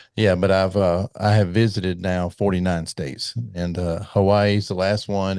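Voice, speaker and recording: A man speaks in a monotone, flat voice with an American accent. The background is quiet. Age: 60s. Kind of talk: casual interview chat.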